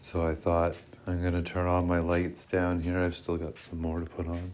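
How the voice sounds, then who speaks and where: A soft-spoken man with a Canadian accent, very deep and low in pitch, with monotone, flat intonation. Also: moderate pace. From Canada. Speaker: vlogger and streamer. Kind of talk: casual livestream monologue. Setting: home livestream, lights down. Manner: soft-spoken, kept low.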